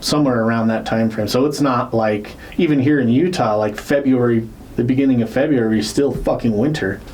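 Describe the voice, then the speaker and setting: Amid noticeable background noise and audible room echo, a man talks fairly quickly at a medium pitch, with ordinary pitch variation and very even loudness. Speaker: podcast co-host. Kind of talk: casual chat. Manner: slurred words; hesitant, many fillers.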